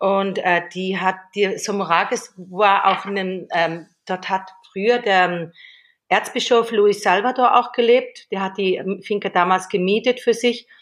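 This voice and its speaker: The speech moves at a fairly slow pace with fairly even intonation against a quiet background. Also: woman, medium pitch for a woman. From Switzerland. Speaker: entrepreneur. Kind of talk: casual interview chat. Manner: hesitant, many fillers.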